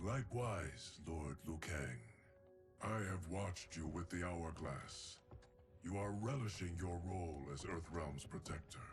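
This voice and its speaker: With clear music in the background, a man puts on a character voice at a very deep, low pitch. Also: fairly slow pace. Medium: game stream. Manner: solemn, formal.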